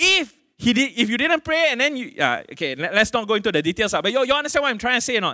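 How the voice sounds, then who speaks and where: Very fast and raised, projected, the voice has a Malaysian accent, a bright, sharp tone and lively intonation, on a very clean recording with a silent background. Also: man. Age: 40s. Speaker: pastor. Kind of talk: sermon. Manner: casual, conversational preaching with fillers.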